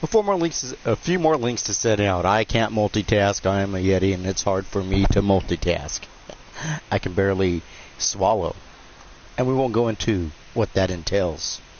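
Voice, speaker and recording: With lively intonation, a man talks at a fairly slow pace amid noticeable background noise. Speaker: gaming live streamer and wrestling commentator. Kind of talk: live game stream commentary. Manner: casual, rambling.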